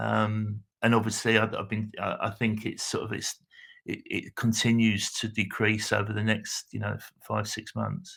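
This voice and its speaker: A man speaks with a British accent. His pace is fairly slow. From United Kingdom. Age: 60s. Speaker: patient. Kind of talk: interview answer. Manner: hesitant, halting.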